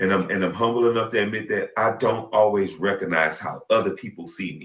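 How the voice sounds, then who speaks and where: Speaking at a fairly quick pace, a man with a fairly low pitch shows big swings in loudness. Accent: Southern US. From US South. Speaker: podcast host. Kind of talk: casual chat. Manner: animated.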